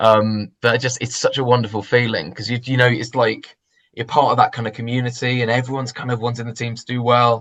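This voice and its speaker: A man with a medium pitch talks very fast in a monotone, flat delivery over a quiet background. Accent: London. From London. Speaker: church member. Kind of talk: interview. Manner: halting.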